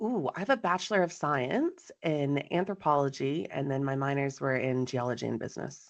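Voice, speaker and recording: A woman's very deep, low voice with a slight Texan accent, lively intonation and hardly any pauses, over a quiet background. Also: moderate pace. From Texas. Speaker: farmer and business coach. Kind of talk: interview. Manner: animated.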